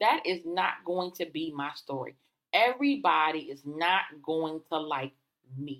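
A woman's plain, everyday voice, fairly low in pitch, with lively intonation and a fairly slow pace. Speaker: podcast host and coach. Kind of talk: solo podcast monologue, conversational.

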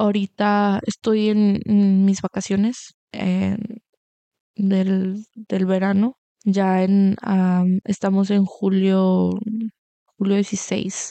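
A woman's medium-pitched voice at a very slow pace, monotone and flat in intonation, with very even loudness. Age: 20s. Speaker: podcast host. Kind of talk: casual monologue. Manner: halting, repetitive.

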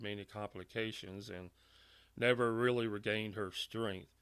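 In a Louisiana accent, a man speaks at a medium pitch with monotone, flat intonation on a very clean recording with a silent background. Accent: Southern US (Louisiana). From US South, Louisiana (Monroe). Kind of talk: personal testimony. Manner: hesitant with filler words and repetitions.

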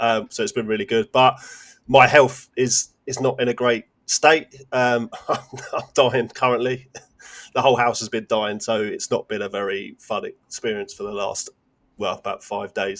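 In a dry, close sound with no echo, a man with a British accent speaks at a moderate pace and a medium pitch. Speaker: gaming podcast co-host. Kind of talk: casual chat.

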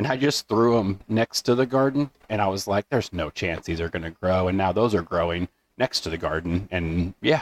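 Quick-paced and with lively intonation, a man with a fairly low pitch talks in an unremarkable speaking voice. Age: 30s. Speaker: podcast co-host. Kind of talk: casual chat.

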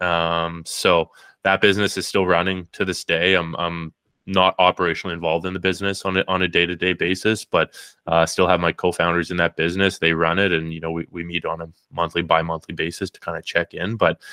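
A man with a Canadian accent speaks at a fairly quick pace in a very deep, low pitch, with a bright, sharp tone and monotone, flat intonation. The sound is dry and close with no echo, in a very clean recording with a silent background. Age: 30s. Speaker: business owner. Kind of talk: casual interview.

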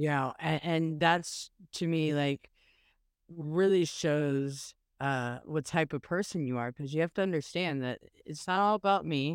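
A woman with a very deep, low pitch and an American accent, at a fairly slow pace with ordinary pitch variation, in a dry, close sound with no echo on a very clean recording with a silent background. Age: 40s. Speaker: podcast co-host, social media activist. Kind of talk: casual chat.

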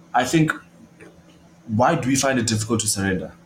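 A man speaks at a moderate pace with lively intonation against noticeable background noise. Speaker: podcast host.

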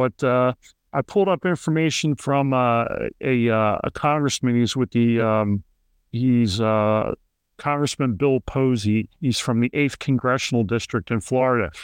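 A man speaks in a Philadelphia accent with very even loudness. The sound is dry and close with no echo, over a quiet background. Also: medium pitch for a man, ordinary pitch variation, fairly slow pace. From Philadelphia, Kensington. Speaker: podcast host. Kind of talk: interview.

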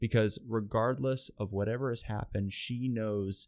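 In an ordinary speaking voice, a man talks at a fairly slow pace with a fairly low pitch and fairly even intonation. The recording is very clean, with a silent background. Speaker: podcast host. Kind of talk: devotional solo podcast talk.

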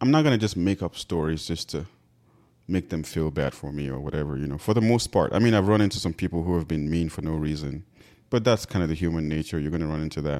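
A man with a very deep, low voice and a dark, mellow tone talks very fast with ordinary pitch variation on a very clean recording with a silent background. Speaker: podcast co-host. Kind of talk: casual chat.

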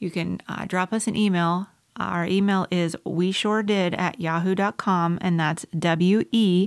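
Keeping her intonation fairly even, a woman with an American accent talks at a medium pitch. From South Carolina. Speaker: podcast co-host. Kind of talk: casual chat.

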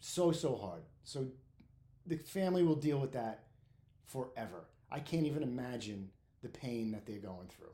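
This man talks at a moderate pace with a medium pitch, a dark, mellow tone and a somewhat breathy quality. His loudness swings widely, his intonation is lively, and he leaves long, frequent pauses. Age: 50s. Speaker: podcast host, firefighter. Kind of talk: casual monologue. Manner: informal, candid; halting, uses filler words.

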